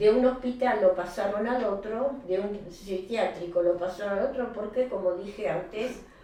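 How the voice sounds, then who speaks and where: Against noticeable background noise and audible room echo, a woman speaks at a fairly slow pace with a medium pitch and ordinary pitch variation. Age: 90s. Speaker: interviewee, grandmother of deceased patient. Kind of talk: interview. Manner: halting.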